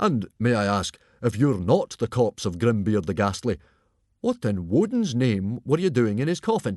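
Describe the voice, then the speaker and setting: Using a put-on character voice, a man booms at a medium pitch and moderate pace with lively intonation in a dry, close sound with no echo. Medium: read story. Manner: hearty, booming.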